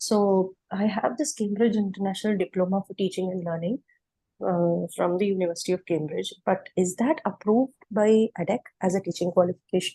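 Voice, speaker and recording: Dry and close with no echo, a woman's medium-pitched voice carries a dark, mellow tone. She speaks at a fairly quick pace, somewhat breathy, with ordinary pitch variation. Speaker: teacher seeking job. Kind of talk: question in online Q&A.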